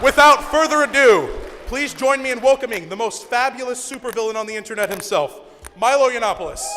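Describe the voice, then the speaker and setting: Extremely high-pitched raised, projected voice of a man, very fast, with ordinary pitch variation over noticeable background noise. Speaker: student club organizer introducing speaker. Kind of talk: event introduction speech. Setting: stage with audience. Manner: loud.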